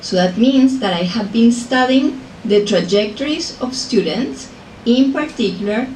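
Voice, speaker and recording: Spoken at a fairly slow pace with a Colombian accent and ordinary pitch variation, the voice carries audible room echo over noticeable background noise. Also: woman, fairly high pitch for a woman. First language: Spanish. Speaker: professor. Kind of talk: lecture.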